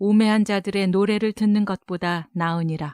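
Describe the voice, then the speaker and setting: A woman's ordinary speaking voice at medium pitch, fairly slow pace and ordinary pitch variation, dry and close with no echo, very clean recording over a silent background. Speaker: announcer. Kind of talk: Bible reading. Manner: slow, measured.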